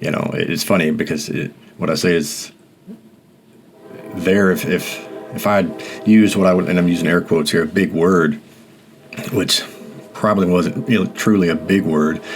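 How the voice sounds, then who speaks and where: The speaker has an American accent and leaves long, frequent pauses. Music plays in the background. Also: man, very deep, low pitch for a man, ordinary pitch variation, moderate pace. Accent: Mississippi accent, comes out occasionally. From US South, rural Mississippi. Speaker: podcast host. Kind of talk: personal reflective monologue. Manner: halting, many fillers and repetitions.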